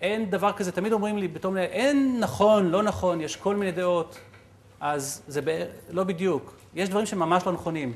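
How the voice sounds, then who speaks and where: A man's high voice at moderate speed, its pitch moving in an ordinary way. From Israel. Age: 40s. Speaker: entrepreneur and guest lecturer; guest lecturer. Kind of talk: lecture. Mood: reflective storytelling. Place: hall. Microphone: lapel.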